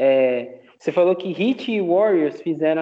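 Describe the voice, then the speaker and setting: A man speaks in a plain, everyday voice. His pace is fairly slow, with ordinary pitch variation. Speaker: basketball fan podcaster. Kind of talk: casual sports analysis chat.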